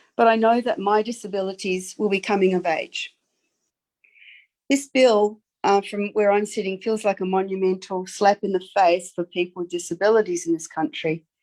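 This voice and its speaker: Speaking at a moderate pace with a slight Australian accent, a woman keeps a medium pitch and ordinary variation, the sound dry and close with no echo. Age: 60s. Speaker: public submitter. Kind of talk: formal submission to committee. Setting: video call. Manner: earnest, impassioned.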